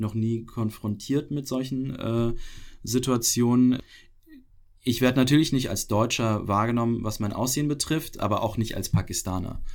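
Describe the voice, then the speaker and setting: This man has a plain, everyday voice of medium pitch. He talks at a moderate pace with fairly even intonation. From Pakistan (Karachi), German expat community. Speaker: podcast guest. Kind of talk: casual interview.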